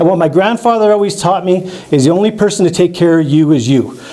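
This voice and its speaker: A very fast, animated man in an Albertan accent, with lively intonation, audible room echo and noticeable background noise. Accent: Canadian (Alberta). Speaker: biologist and rural politician. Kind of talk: public presentation. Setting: community hall with audience. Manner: loud.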